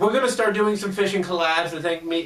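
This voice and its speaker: A man talks at a fairly quick pace with ordinary pitch variation, with audible room echo and noticeable background noise. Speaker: YouTuber interviewing a guest. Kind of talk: casual interview. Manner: loud.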